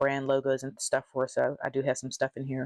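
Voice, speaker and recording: The voice moves at a fairly quick pace over a quiet background. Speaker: social media content creator tutorial host. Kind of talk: tutorial. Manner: fast; enunciating carefully.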